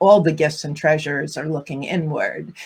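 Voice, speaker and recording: Her voice somewhat breathy, a woman speaks at a fairly low pitch with fairly even intonation. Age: 50s. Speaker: relationship and divorce coach. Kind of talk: casual panel discussion.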